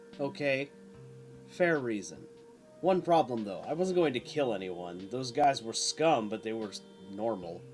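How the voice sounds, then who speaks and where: Over clear music in the background, a man does a put-on character voice at medium pitch and a moderate pace, with long, frequent pauses. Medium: read story. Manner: cocky, taunting.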